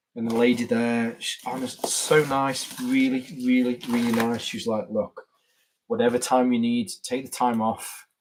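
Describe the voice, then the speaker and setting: Speaking with an English Midlands accent, a man uses a medium pitch and a fairly slow pace. His intonation stays fairly even. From England, Staffordshire. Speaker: YouTuber, gear reviewer. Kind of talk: casual live-stream chat. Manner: halting, repeats words.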